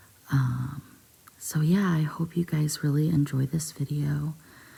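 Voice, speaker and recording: Soft-spoken, the voice moves at a very slow pace. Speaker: ASMR storyteller. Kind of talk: soft-spoken ASMR story reading. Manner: hesitant with frequent ums.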